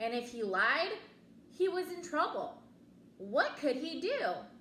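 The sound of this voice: With audible room echo, a woman speaks slowly at a high pitch, her fairly bright tone moving through big pitch swings.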